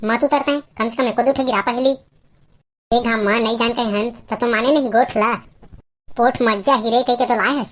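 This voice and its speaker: A woman does a cartoonish character voice pitched high. She talks at a very fast pace. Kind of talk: comic cartoon voice.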